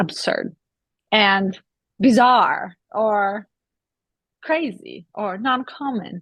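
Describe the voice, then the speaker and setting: A woman speaks at a medium pitch with ordinary variation. The sound is dry and close, with no echo. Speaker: spiritual discussion co-host. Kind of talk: casual spiritual conversation.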